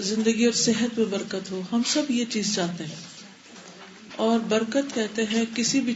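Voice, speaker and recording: A woman with a fairly high pitch talks in a fairly even tone as noticeable background noise plays. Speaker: Islamic scholar giving a religious lecture. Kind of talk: religious lecture.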